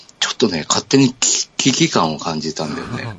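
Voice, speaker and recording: Over noticeable background noise, a man in a relaxed tone speaks at a moderate pace with a fairly low pitch and very wide pitch swings. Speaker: podcast host. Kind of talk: casual chat. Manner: laughs often, relaxed.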